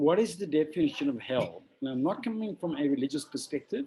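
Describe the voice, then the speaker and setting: Here a man speaks with a dark, mellow tone. His intonation is lively and his pace fairly quick. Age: 60s. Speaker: extreme adventurer and conservationist. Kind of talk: interview.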